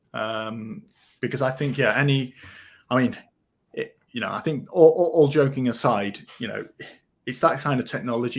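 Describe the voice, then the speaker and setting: A man with a British accent speaks with ordinary pitch variation, big swings in loudness and long, frequent pauses. The recording is very clean, with a silent background. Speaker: podcast co-host, rebate specialist. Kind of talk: casual chat. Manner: halting, many fillers and repeats.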